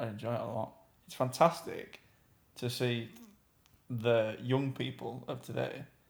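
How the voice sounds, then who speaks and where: At a fairly slow pace and medium pitch, a man with vocal fry and fairly even intonation shows big swings in loudness and long, frequent pauses. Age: 20s. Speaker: podcast co-host. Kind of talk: casual chat.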